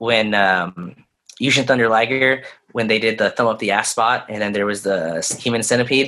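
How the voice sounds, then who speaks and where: This man has an unremarkable speaking voice, with ordinary pitch variation and a moderate pace. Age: 20s. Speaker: professional wrestler. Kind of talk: casual chat. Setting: video call.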